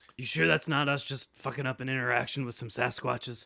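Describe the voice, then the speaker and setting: A man puts on a raspy character voice at medium pitch. He rattles along at a very fast pace. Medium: actual play. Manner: stammering, casual and defensive.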